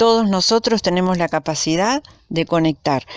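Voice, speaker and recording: A woman's medium-pitched voice with lively intonation at a moderate pace, dry and close with no echo, over a quiet background. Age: 60s. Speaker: YouTuber sharing spiritual experiences. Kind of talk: personal testimony monologue. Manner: hesitant, with fillers.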